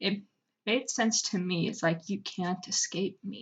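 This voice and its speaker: Over a quiet background, a woman mumbles at a fairly slow pace in a medium-pitched, somewhat breathy voice with fairly even intonation. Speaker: digital artist. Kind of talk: speedpaint art commentary voice-over. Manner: mumbling.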